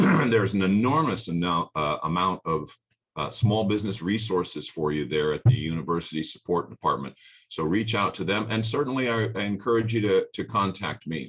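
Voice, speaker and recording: In an unremarkable speaking voice, a man talks at a fairly quick pace and fairly low pitch with lively intonation over a quiet background. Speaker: business workshop presenter. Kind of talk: webinar presentation. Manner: many filler words.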